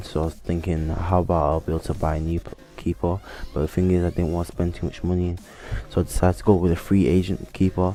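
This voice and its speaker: Music plays behind a man with a very deep, low pitch. He talks at a very fast pace with fairly even intonation. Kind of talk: gameplay commentary. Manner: dull.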